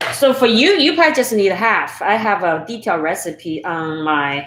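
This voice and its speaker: Lively intonation in a Chinese accent, with noticeable background noise. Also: woman. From Sichuan, China. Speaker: home cooking YouTuber. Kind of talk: live-stream cooking tutorial and chat. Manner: casual, halting with fillers.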